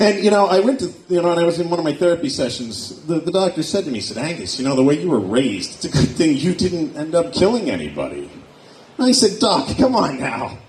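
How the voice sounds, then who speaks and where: Very fast and high-pitched, a man with an American accent swings his pitch very widely amid noticeable background noise and audible room echo. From Pennsylvania, Erie. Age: 40s. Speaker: stand-up comedian. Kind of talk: stand-up. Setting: stage with audience.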